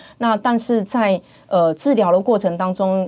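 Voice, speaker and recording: Her pitch is medium and varies in an ordinary way as a woman talks. The background is silent and the recording very clean. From Taiwan, Pingtung. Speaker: dentist, hospital department head. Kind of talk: interview, faith testimony. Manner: hesitant, many fillers.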